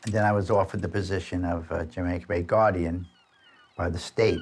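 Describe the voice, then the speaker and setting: Someone with a New York accent talks at a fairly quick pace with fairly even intonation. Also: man. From New York City, Queens. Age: 80s+. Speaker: conservationist. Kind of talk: documentary interview answer.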